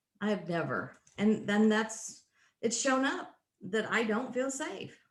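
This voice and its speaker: Somewhat breathy and fairly high, a woman's voice moves at a fairly slow pace with lively intonation. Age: 60s. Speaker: workshop participant. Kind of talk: casual chat.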